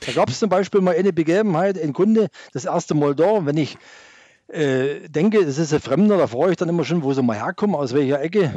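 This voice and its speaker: A man's dark, mellow voice at a fairly quick pace with ordinary pitch variation. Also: fairly high pitch for a man, quiet background. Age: 60s. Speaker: farmer. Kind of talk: radio talk show discussion.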